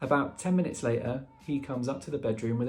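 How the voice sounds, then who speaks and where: A man talks fairly quickly. Music can be heard in the background. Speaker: book reviewer. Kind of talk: casual talk to camera.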